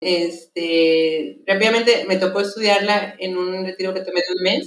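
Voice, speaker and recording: At a very slow pace, a woman talks with fairly even intonation at a medium pitch. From Mexico. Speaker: lay missionary. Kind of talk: testimony.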